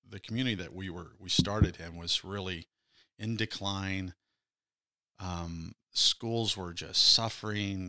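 A man with a very deep, low pitch and a bright, sharp tone speaks at a fairly slow pace with fairly even intonation, long, frequent pauses and big swings in loudness, in a dry, close sound with no echo. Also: very clean recording, silent background. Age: 60s. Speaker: pastor. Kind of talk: casual chat.

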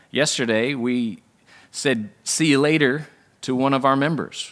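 A normal speaking voice from a man, with ordinary pitch variation and a moderate pace, on a very clean recording with a silent background. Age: 30s. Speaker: pastor. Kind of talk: sermon. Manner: conversational.

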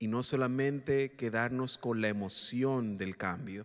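A man speaks in a Spanish accent on a very clean recording with a silent background. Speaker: Spanish-language minister. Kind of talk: bilingual prayer. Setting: church.

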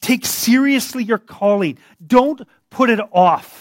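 Over a very clean, silent background, a man with an extremely high pitch speaks at a fairly slow pace with ordinary pitch variation, the sound dry and close with no echo. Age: 50s. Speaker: pastor. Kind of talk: sermon.

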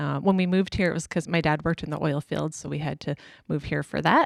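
In a western Canadian accent, a woman with a very deep, low pitch and ordinary pitch variation speaks in a dry, close sound with no echo on a very clean recording with a silent background. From Alberta, Canada. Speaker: pastor's wife. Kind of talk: interview.

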